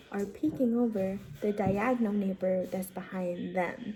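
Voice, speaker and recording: Noticeable background noise surrounds a woman's whisper. She speaks at a very slow pace. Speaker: vlogger. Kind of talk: casual vlog chat. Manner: normally loud; whispering.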